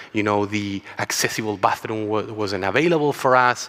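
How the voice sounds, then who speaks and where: With a Chilean accent, a man talks at a moderate pace in a fairly low pitch that varies in an ordinary way. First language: Spanish. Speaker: travel company co-founder. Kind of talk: conference talk.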